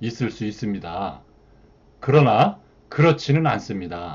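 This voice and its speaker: A somewhat breathy male voice at a fairly slow pace, with very wide pitch swings. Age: 60s. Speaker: retiree channel host, freelancer. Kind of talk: monologue talk to viewers.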